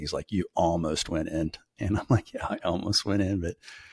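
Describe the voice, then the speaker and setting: A man with an Arkansas accent and a very deep, low pitch talks at a fairly quick pace, sounding somewhat breathy. His intonation is fairly even, and the recording is very clean with a silent background. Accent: US South (Arkansas). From Northwest Arkansas. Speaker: logistics podcast co-host. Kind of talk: casual chat.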